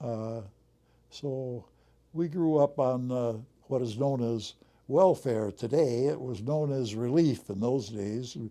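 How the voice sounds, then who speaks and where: Very slowly and with long, frequent pauses, a man speaks in a medium pitch with a dark, mellow tone and ordinary pitch variation. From US Midwest, Racine, Wisconsin. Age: 90s. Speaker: war veteran and retired airline pilot. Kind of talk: interview. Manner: hesitant, with many fillers.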